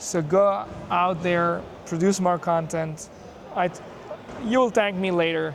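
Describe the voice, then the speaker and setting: Over audible room echo, a man talks at a moderate pace with a high pitch and fairly even intonation. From Pakistan. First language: not English (speaks five languages). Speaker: content creator, developer. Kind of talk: casual chat. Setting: developer conference hall.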